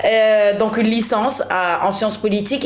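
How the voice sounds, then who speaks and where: At a moderate pace, a woman with a fairly high voice speaks amid noticeable background noise and audible room echo. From Senegal. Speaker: media presenter. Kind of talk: podcast interview, casual chat.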